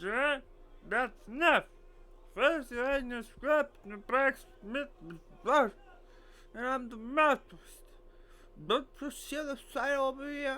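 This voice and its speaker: A put-on character voice with a high pitch moves at a fairly slow pace, with long, frequent pauses. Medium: game stream. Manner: wheedling, haggling.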